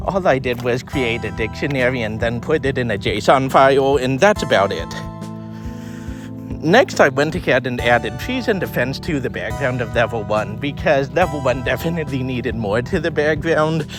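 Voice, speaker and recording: Behind the voice, music is playing. Delivery is at a moderate pace, with ordinary pitch variation. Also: man, medium pitch for a man. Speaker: indie game developer. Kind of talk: casual devlog narration. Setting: outdoors.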